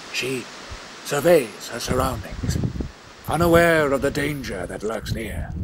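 A man speaks at a fairly slow pace with long, frequent pauses. His intonation is lively over noticeable background noise. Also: medium pitch for a man. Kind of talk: scripted mock nature-documentary narration.

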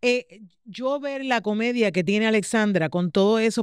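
A woman with a Puerto Rican accent speaks with ordinary pitch variation in a dry sound with no echo and a quiet background. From Puerto Rico. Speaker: podcast host. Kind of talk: casual interview chat. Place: studio. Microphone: studio mic.

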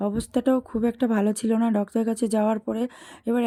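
A woman speaks at a fairly high pitch in a dark, mellow tone with monotone, flat intonation. The sound is dry and close, with no echo. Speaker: vlogger. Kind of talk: vlog narration. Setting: outdoors, train and stations.

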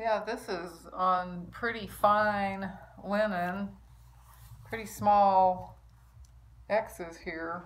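A woman speaks with a monotone, flat intonation over light background noise. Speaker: needlework vlogger. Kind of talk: casual vlog chat. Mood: warm, admiring. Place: home room. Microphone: phone near.

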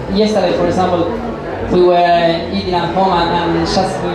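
A man speaks at a moderate pace amid audible room echo and loud background noise. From Argentina. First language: Spanish. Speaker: chef. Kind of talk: Q&A interview on stage. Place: hall.

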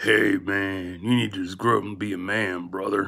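A man does a put-on character voice at fairly low pitch. His pace is moderate. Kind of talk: casual, repeats brother. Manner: mocking, lecturing.

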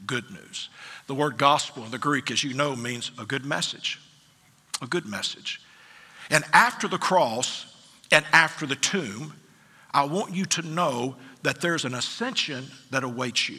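A man at a moderate pace with long, frequent pauses, ordinary pitch variation and a quiet background. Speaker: pastor. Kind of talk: sermon. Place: church. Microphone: headset.

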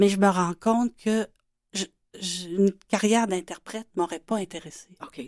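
A woman with a plain, everyday voice speaks at a fairly slow pace and medium pitch, with fairly even intonation and big swings in loudness. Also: dry, close sound with no echo. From Quebec City. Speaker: children's illustrator and author. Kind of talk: radio interview.

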